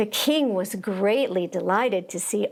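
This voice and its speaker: The speaker talks at a fairly slow pace with lively intonation. It is an ordinary speaking voice. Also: woman. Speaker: actor giving a dramatic storybook reading. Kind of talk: children's storybook reading, dramatic.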